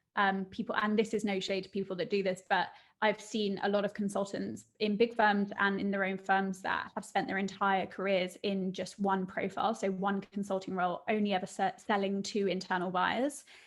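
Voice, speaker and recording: A woman with a British accent and a medium-pitched voice speaks in a monotone, flat way with hardly any pauses. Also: moderate pace. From southern England, Surrey. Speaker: business founder. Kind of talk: interview.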